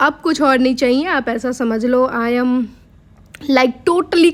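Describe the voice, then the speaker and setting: This woman speaks with a high pitch. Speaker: vlogger, software engineer. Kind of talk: casual vlog talk. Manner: pauses often to breathe.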